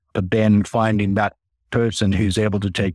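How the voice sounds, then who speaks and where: A man speaks with a Finnish accent at a moderate pace, his fairly low voice monotone and flat. The sound is dry and close with no echo, on a very clean recording with a silent background. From Finland. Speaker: corporate treasurer. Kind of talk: interview.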